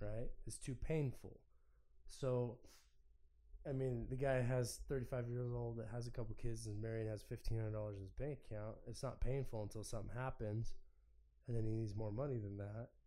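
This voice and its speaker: Speaking at a moderate pace in a dark, mellow tone, a man with a medium pitch keeps a monotone, flat intonation while the room echo stays audible. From Oregon, US. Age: 30s. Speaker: business owner. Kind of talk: casual chat.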